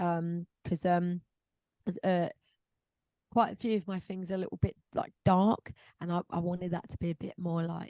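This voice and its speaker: Recorded with a dry, close sound and no echo, a woman of medium pitch talks at a moderate pace in a London accent. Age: 30s. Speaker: singer-songwriter. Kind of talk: interview. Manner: casual, hesitant with fillers.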